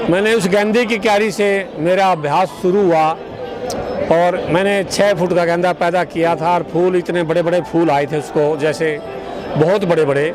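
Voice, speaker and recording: A high-pitched man with fairly even intonation and very even loudness, amid audible room echo and music in the background. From Haryana, India. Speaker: farmer. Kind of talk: interview. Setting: outdoors at a farmers' fair.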